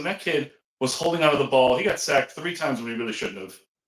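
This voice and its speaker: Loud and very fast, a man speaks in a bright, sharp tone. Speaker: sports podcast co-host. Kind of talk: casual chat. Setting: home back office, video call.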